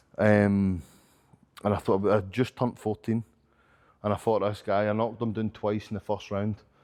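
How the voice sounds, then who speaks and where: In a Glasgow accent, a man speaks at a fairly low pitch and a moderate pace, with monotone, flat intonation and long, frequent pauses, on a very clean recording with a silent background. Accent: Scottish (Glasgow). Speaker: professional boxer and coach. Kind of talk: casual interview chat.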